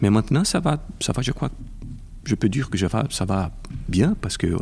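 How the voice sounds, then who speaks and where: Somewhat breathy and fairly low in pitch, a man with a Brazilian accent speaks with very wide pitch swings. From Brazil (Rio de Janeiro). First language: Portuguese (speaking French). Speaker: intellectual property lawyer. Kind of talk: interview. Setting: convention center. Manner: halting.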